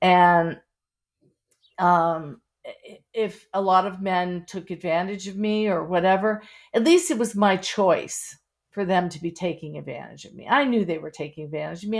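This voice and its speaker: A woman with an American accent speaks at a moderate pace with ordinary pitch variation against a quiet background. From Pittsburgh, US. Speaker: memoir author. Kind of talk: interview. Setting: podcast interview. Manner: halting, many fillers.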